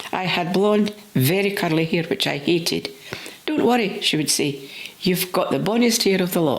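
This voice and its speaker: Noticeable background noise sits behind a woman speaking at a medium pitch and moderate pace. Her intonation is lively and her loudness very even. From Scotland. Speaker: storyteller. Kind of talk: personal reminiscence story reading.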